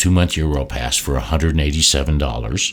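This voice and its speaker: This man's pitch is very deep and low, with vocal fry and ordinary pitch variation. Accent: American. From Texas, Houston. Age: 70s. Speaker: traveler recounting experiences. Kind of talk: interview storytelling. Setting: at the host's home.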